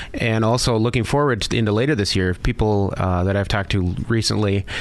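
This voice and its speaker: Against noticeable background noise, a man speaks very fast at a fairly low pitch, with fairly even intonation and very even loudness. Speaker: mortgage lender. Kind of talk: radio interview.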